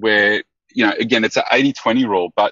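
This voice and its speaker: Intonation stays fairly flat as a man talks with an Australian accent. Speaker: business consultant moving into coaching. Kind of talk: call-in question on a coaching podcast. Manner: halting, with many fillers.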